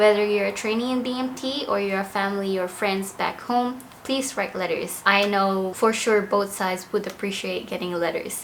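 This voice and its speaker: Room echo is audible in the recording. Noticeable background noise is also present. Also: woman. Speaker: air force member, vlogger. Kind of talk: casual vlog talk.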